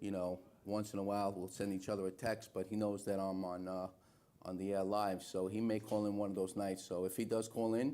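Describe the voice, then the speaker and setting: A man's fairly low, dark, mellow voice with a New York accent, monotone and flat, at a fairly quick pace. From New York City, Little Italy. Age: 50s. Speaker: talk show host. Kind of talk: live call-in talk show. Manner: casual.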